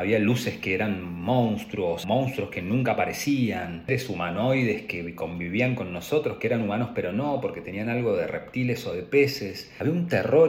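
A man speaks at medium pitch and a moderate pace, with very wide pitch swings. Noticeable background noise and audible room echo are present. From Argentina, Patagonia (Trelew, Chubut). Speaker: graduate student. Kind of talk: personal narrative for a class assignment.

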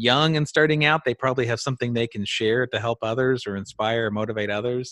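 A man's medium-pitched, ordinary speaking voice at a fairly quick pace, dry and close with no echo. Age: 40s. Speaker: podcast host. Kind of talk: casual interview.

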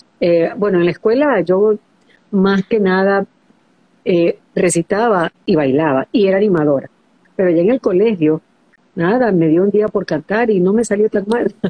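A woman at a medium pitch speaks at a fairly slow pace with ordinary pitch variation. She leaves long, frequent pauses. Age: 60s. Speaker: former TV presenter. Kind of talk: interview.

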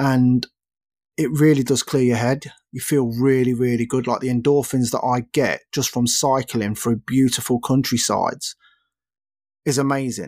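Flat and monotone, the speech goes at a moderate pace. The recording is very clean and dry, close and echo-free, with a silent background. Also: man, medium pitch for a man. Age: 30s. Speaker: podcast host. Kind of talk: casual solo chat.

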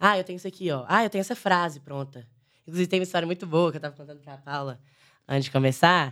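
On a very clean recording with a silent background, a woman with a fairly low pitch speaks at a very fast pace with ordinary pitch variation. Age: 20s. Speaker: sertanejo singer. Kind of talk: casual chat.

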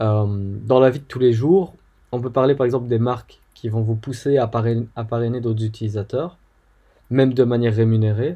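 A man's dark, mellow voice at a medium pitch and moderate pace, with fairly even intonation, over a quiet background. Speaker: podcast host. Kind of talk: solo educational talk. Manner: hesitant with fillers.

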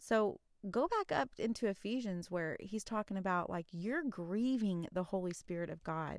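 In an ordinary speaking voice at medium pitch, a woman talks at a moderate pace with lively intonation, in a very clean recording with a silent background. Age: 30s. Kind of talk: faith-based solo podcast talk. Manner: casual, chatty with fillers.

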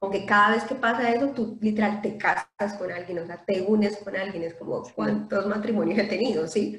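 At a moderate pace, a woman speaks with hardly any pauses and a somewhat breathy sound. Her pitch sits in the medium range, with fairly even intonation. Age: 30s. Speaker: English instructor. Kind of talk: casual chat.

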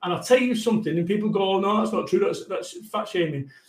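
In a Mancunian accent, a man talks at a high pitch with ordinary pitch variation. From Manchester, northern England. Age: 40s. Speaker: motivational business speaker. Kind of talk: casual chat. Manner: energetic.

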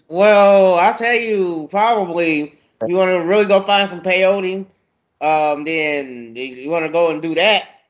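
A man talks at a fairly slow pace in a high pitch, with ordinary pitch variation.

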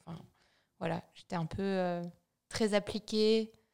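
Here is a woman with a plain, everyday voice at a medium pitch. Her intonation is fairly even, and the recording is very clean with a silent background. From France, Vosges. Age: 30s. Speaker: brand co-founder. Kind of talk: casual interview.

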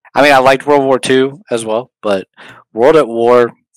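A man's unremarkable speaking voice, medium in pitch, at a moderate pace with ordinary pitch variation, in a dry, close sound with no echo. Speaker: podcast panel regular. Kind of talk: casual chat. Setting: Discord voice chat.

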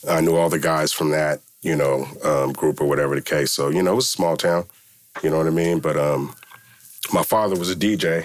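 Very deep and low, a man's voice with an American accent runs at a fairly quick pace, with very even loudness and fairly even intonation. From US West Coast, Milpitas in the South Bay. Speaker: hip-hop producer. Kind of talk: casual interview.

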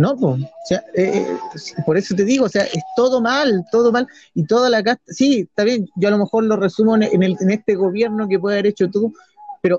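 With a Chilean accent, a man speaks in a high pitch at a fairly quick pace and with lively intonation. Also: dry, close sound with no echo. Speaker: podcast co-host. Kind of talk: casual political chat. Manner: halting, repeats words.

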